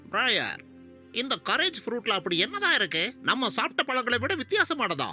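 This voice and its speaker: Over clear background music, a put-on character voice with a high pitch swings very widely in pitch at a moderate pace. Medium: fan dub. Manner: casual, bantering.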